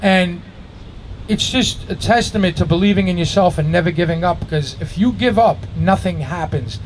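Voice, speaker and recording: A man with a New York accent, high in pitch, at a moderate pace with ordinary pitch variation, over noticeable background noise. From Astoria, Queens, New York City. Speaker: graffiti writer and musician. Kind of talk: live storytelling to an audience. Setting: outdoors. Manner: casual, conversational.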